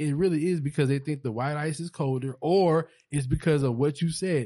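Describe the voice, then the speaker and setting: A man talks at a fairly quick pace in an ordinary speaking voice, his pitch fairly high with ordinary variation. The background is quiet. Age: 30s. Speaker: podcast co-host. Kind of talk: casual chat.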